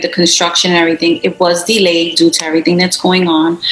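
Noticeable background noise surrounds a woman speaking at a medium pitch in a New York accent. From US, Brooklyn, New York (Puerto Rican descent). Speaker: beauty business owner. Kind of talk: interview.

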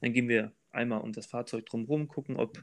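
A man's medium-pitched voice at a moderate pace, with fairly even intonation against a quiet background. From Thuringia, eastern Germany (Weimar). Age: 30s. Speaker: train driver. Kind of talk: interview. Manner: hesitant, many filler sounds.

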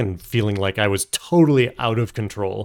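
This man has an unremarkable speaking voice with a fairly low pitch at a moderate pace. The recording is very clean, with a silent background. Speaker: podcast host.

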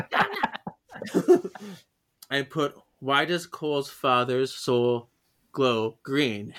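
Speech comes at a very slow pace with long, frequent pauses. Pitch variation is ordinary. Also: man, fairly high pitch for a man. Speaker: podcast host. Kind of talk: casual chat.

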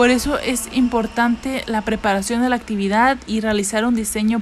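A woman speaks at a fairly high pitch and moderate pace, with a monotone, flat intonation. Background noise is noticeable. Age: 20s. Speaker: student presenter. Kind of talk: educational talk. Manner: occasionally halting.

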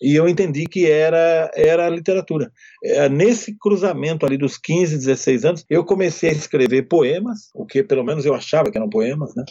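A man talks at a moderate pace with hardly any pauses, in an ordinary speaking voice. His pitch is fairly high, with ordinary pitch variation. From Brazil, interior of São Paulo state. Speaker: writer and screenwriter. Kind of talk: interview.

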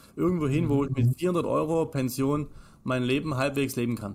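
An unremarkable speaking voice from a man, fairly high in pitch, with ordinary pitch variation. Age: 30s. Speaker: financial advisor. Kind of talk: casual chat.

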